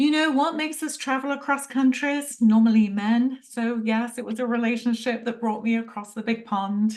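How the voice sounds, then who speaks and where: A woman speaks with an English accent in a fairly high voice. She keeps a moderate pace with hardly any pauses. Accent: English accent, noticeable. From London, England. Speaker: Ayurveda practitioner. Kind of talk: interview.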